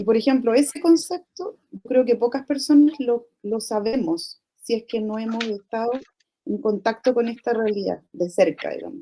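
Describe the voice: Her tone is dark and mellow, her pitch fairly high. The woman keeps a moderate pace.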